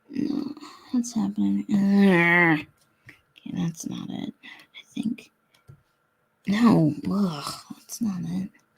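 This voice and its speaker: Mumbling at a very slow pace, a woman's voice shows big swings in loudness. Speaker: comic artist livestreamer. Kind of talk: live drawing stream, thinking aloud. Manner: mumbling to herself; casual, halting.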